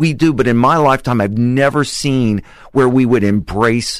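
A man with a medium pitch and an unremarkable speaking voice. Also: quiet background. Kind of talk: casual radio interview. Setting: radio studio.

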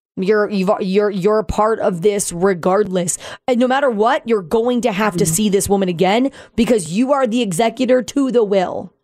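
A woman speaks in a plain, everyday voice at a fairly high pitch and a moderate pace. Her loudness stays very even, and her pitch variation is ordinary. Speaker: departing radio show co-host. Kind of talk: casual emotional farewell chat. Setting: radio studio. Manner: emotional, chatty.

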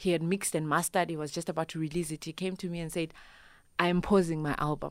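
A woman speaks at a very fast pace. The recording is very clean, with a silent background. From Zimbabwe. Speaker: Afro-soul musician. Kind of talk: radio interview. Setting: studio. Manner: animated.

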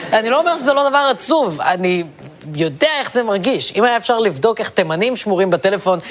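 Against noticeable background noise, a man with a high pitch speaks at a moderate pace with lively intonation. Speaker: satirical comedy host. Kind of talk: satirical monologue.

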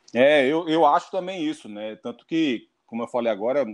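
A man with a fairly high voice speaks at a moderate pace in an ordinary speaking voice, against a quiet background. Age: 40s. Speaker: football pundit. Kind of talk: interview.

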